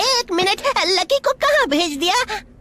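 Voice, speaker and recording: An extremely high-pitched cartoonish character voice comes through over clear background noise. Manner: sarcastic.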